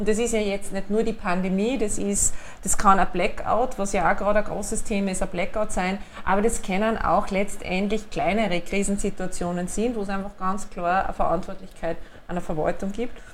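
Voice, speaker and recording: A woman speaks at a fairly quick pace in a medium pitch with flat, monotone intonation, with audible room echo and noticeable background noise. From Upper Austria. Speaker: city administration director. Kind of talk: interview. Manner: hesitant fillers.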